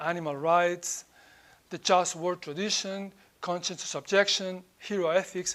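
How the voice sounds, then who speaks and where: A man with a Spanish accent, high in pitch with fairly even intonation, at a moderate pace. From Spain. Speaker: professor. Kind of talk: lecture.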